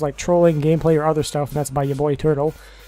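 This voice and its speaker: Someone speaks at a very fast pace with music playing in the background. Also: man. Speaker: gaming youtuber. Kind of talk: casual q&a talk to camera.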